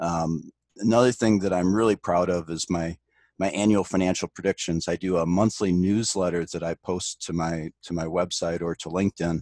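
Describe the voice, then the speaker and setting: A man with an American accent speaks at a moderate pace, his pitch very deep and low and his intonation fairly even. The sound is dry and close with no echo, on a very clean recording with a silent background. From US Midwest, Detroit area. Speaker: actuarial consultant and adjunct professor. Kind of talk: interview.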